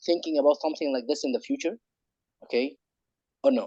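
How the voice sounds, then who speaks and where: A man with an Arabic accent speaks at a fairly high pitch with ordinary pitch variation. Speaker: webinar participant. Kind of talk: question at online webinar. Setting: online webinar. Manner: halting with many repetitions.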